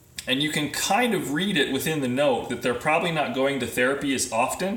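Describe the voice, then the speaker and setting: Ordinary pitch variation in a man's speech, over noticeable background noise, with audible room echo. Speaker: physical therapist consultant. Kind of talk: live video presentation. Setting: Facebook live video.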